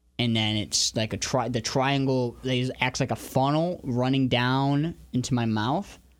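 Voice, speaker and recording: With an American accent, a man in an ordinary speaking voice talks at a fairly slow pace with medium pitch, fairly even intonation, very even loudness and hardly any pauses, on a very clean recording with a silent background. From Northern Michigan. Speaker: podcast co-host. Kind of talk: casual debate.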